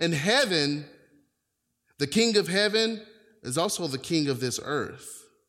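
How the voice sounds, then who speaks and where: Pitch swings very widely while the delivery keeps a moderate pace. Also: man. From US South, North Carolina. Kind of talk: sermon. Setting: church with congregation.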